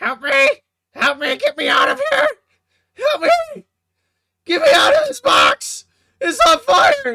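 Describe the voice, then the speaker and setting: A put-on character voice speaks at an extremely high pitch. The pace is fairly slow, with long, frequent pauses. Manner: frantic, pleading.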